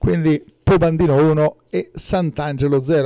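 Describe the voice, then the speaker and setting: Fairly high in pitch yet dark and mellow in tone, a man speaks with fairly even intonation. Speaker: sports commentator. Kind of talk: live sports commentary on a football match, recapped as highlights.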